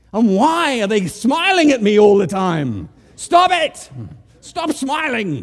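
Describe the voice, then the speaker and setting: An extremely high-pitched man at a very slow pace, with very wide pitch swings and noticeable background noise. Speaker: preacher. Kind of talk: sermon. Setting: church.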